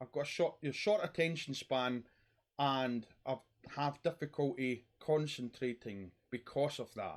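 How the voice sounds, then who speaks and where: A Scottish accent at a fairly slow pace, with ordinary pitch variation, in a very clean recording with a silent background. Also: man, medium pitch for a man. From Scotland. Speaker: YouTuber talking about mental health. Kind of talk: personal monologue vlog. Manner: rambling.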